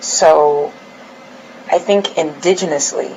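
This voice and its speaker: Against noticeable background noise, a woman speaks at a very slow pace with a very deep, low pitch and fairly even intonation. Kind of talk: interview answer.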